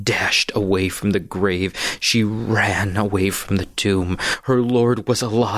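Someone does plain reading aloud. Nothing more is added to the text.

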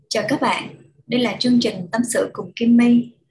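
A woman talks at a fairly slow pace with a fairly high pitch in a normal speaking voice. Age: younger than 37. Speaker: advice podcast host. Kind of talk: show intro.

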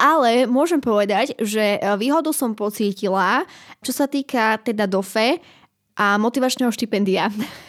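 A woman with a plain, everyday voice speaks at a moderate pace and fairly high pitch, with ordinary pitch variation and very even loudness, in a dry, close sound with no echo and a very clean recording with a silent background. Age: 20s. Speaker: university student. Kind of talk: interview.

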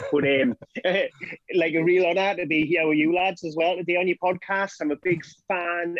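This man talks at a fairly quick pace in a fairly high pitch. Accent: Scottish. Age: middle-aged. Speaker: drug reform campaigner. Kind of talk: podcast interview. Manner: talkative.

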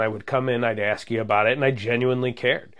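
The speech runs at a very fast pace with an American accent. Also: man. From Munster, Indiana (northwest Indiana). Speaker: police officer. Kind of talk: casual interview.

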